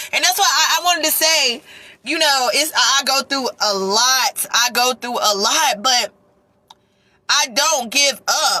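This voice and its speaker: The voice is raised and projected, animated, with lively intonation. It moves at a fairly slow pace with very even loudness. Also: woman, high pitch for a woman. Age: 30s. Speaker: vlogger. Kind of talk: storytime vlog. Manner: emotional, animated.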